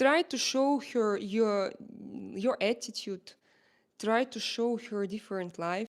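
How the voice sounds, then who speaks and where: A woman speaks at a fairly high pitch with an Eastern European accent. The recording is very clean, with a silent background. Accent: Slavic. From Slavic. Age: 40s. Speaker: live streamer. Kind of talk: casual livestream talk to viewers. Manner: hesitant, many fillers.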